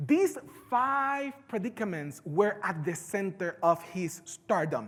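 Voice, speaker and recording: A man with a strong Puerto Rican accent, high-pitched for a man, at a fairly slow pace. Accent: heavy Puerto Rican Spanish. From Puerto Rico. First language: Spanish. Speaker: conference speaker. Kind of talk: keynote talk.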